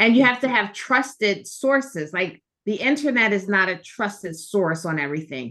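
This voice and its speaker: A woman with an American accent, medium pitch, very wide pitch swings, a bright, sharp tone and hardly any pauses. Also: moderate pace. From Philadelphia. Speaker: gemologist. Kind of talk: interview. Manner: hesitant with many fillers.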